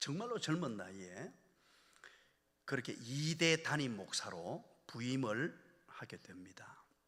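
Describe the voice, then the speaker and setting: The voice has vocal fry, very wide pitch swings and big swings in loudness. It moves at a very slow pace with long, frequent pauses. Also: man, medium pitch for a man. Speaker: guest revival preacher, senior pastor. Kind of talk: sermon. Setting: church revival meeting with congregation. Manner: emphatic, exhorting.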